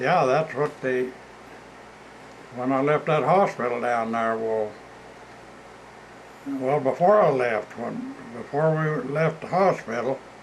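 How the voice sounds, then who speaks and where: Over noticeable background noise, a man at a medium pitch speaks at a very slow pace with long, frequent pauses and ordinary pitch variation. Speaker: elderly relative interviewed. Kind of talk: casual chat.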